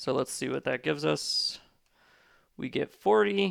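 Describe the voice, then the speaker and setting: In a very clean recording with a silent background, a man talks at a fairly slow pace and a medium pitch. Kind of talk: tutorial. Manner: casual with filler words.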